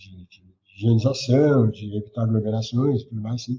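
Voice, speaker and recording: At a moderate pace, a man speaks somewhat breathily at a medium pitch, with a dark, mellow tone and ordinary pitch variation. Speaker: government communications adviser. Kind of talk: interview answer. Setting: remote call.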